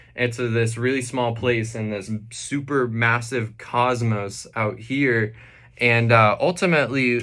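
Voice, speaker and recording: With audible room echo, a man speaks at a fairly slow pace, his tone bright and sharp and his intonation fairly even. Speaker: science and philosophy video creator. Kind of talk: reading aloud with commentary. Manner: halting, frequent fillers and restarts.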